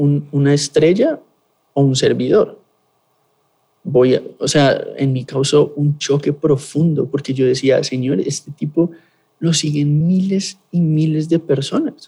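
Speaking at a very slow pace, a man has a somewhat breathy, dark, mellow tone and fairly even intonation. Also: fairly high pitch for a man. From Colombia, Bogotá. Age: 20s. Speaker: pastor. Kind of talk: interview testimony and teaching.

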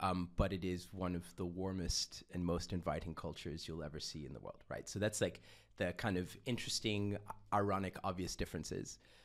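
A man's very deep, low voice at a fairly quick pace with fairly even intonation. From Austria. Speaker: designer. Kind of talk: casual chat.

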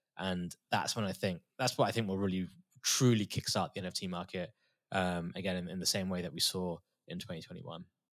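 Very deep and low, a man's voice carries a British accent. He moves at a fairly quick pace with fairly even intonation. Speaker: crypto artist and former trader. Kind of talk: casual interview chat.

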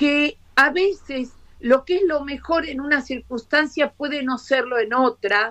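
Speaking at a very slow pace in a Rioplatense accent, a woman with a high pitch uses lively intonation, heard in a dry, close sound with no echo. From Argentina. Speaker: education professor. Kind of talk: live video interview.

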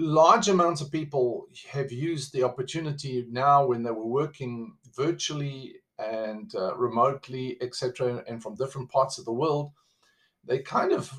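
A man with a South African accent, at a moderate pace and with ordinary pitch variation. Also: fairly high pitch for a man. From South Africa, living in the USA. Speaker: podcast host. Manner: conversational, motivational.

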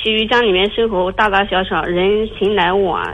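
Her voice is medium in pitch, and the woman speaks with monotone, flat intonation. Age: 30s. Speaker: caller. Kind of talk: call-in confiding problems. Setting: phone call. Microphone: headset with loud breathing, then too quiet.

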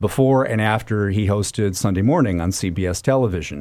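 Against a silent background in a very clean recording, a man with an American accent speaks at a moderate pace in an unremarkable speaking voice with a fairly low pitch. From Minnesota, US Midwest. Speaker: public radio host. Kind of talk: interview.

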